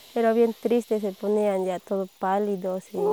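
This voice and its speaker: Dry and close with no echo, the voice has a dark, mellow tone, a flat monotone delivery and a fairly slow pace. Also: woman. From Bolivia, El Alto (La Paz). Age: 20s. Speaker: coffee farmer. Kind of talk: interview. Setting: outdoors on a farm.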